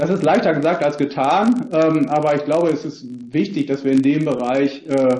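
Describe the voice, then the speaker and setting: Dark, mellow male voice, fairly high in pitch, at a moderate pace. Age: 50s. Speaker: economics professor. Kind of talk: expert presentation at a parliamentary hearing. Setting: video call. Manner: hesitant, many fillers.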